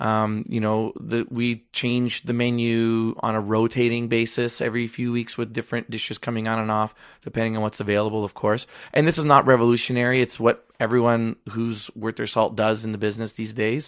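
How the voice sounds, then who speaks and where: Against a quiet background, a man with a Canadian accent talks at a fairly quick pace and medium pitch in a monotone, flat line with hardly any pauses. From Canada, Toronto (Rexdale). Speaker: chef and restaurateur. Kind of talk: casual interview. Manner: fast, talks over others.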